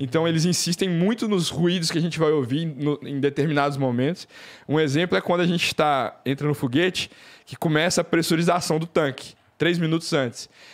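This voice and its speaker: This man speaks at a fairly high pitch and a fairly quick pace, with ordinary pitch variation. His background is quiet. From Brazil, Belo Horizonte (Minas Gerais); Minas Gerais, Brazil. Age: 20s. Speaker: engineer, space tourist; podcast guest. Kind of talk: casual chat. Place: studio. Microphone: studio mic.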